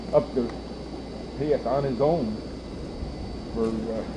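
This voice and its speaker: Noticeable background noise behind a man's fairly slow speech, with ordinary pitch variation. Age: 70s. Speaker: deer hunter. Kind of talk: casual narration on a hunting trip. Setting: outdoors in woods.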